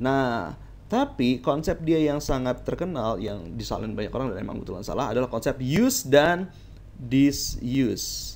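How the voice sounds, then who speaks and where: The speech moves at a moderate pace with lively intonation. Vocal fry runs through the voice. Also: man, medium pitch for a man. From Indonesia, Jakarta. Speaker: teacher. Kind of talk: lecture. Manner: casual, conversational.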